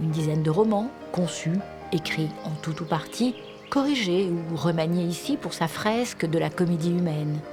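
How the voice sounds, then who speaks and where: With music playing in the background, a woman speaks in a fairly low pitch. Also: ordinary pitch variation. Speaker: voice-over narrator. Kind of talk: documentary narration.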